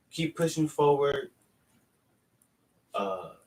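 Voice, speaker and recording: A man speaks in a somewhat breathy voice at a fairly high pitch. His intonation is lively. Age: 30s. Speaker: fitness vlogger. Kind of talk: casual vlog monologue. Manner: halting, with repetitions.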